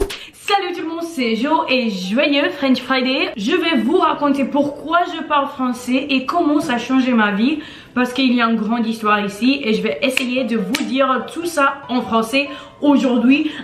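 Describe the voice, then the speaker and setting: A woman with a high pitch and ordinary pitch variation speaks at a fairly slow pace. Audible room echo and noticeable background noise fill the recording. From Brazil, then Connecticut, US from age five. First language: Portuguese (speaking French). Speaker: language blogger. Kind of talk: casual vlog storytelling.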